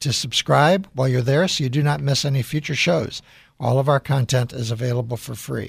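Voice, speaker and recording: With an American accent, a man talks at a fairly quick pace in a fairly high, somewhat breathy voice with ordinary pitch variation, on a very clean recording with a silent background. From US Midwest, Chicago. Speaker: radio host and CEO. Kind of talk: radio interview.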